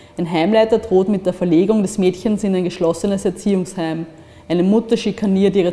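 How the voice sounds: Just a natural reading voice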